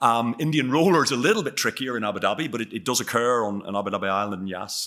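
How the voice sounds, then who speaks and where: Talking at a very fast pace, a man has a bright, sharp tone and ordinary pitch variation. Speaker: bird expert speaker. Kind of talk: lecture. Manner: halting, many fillers and repetitions.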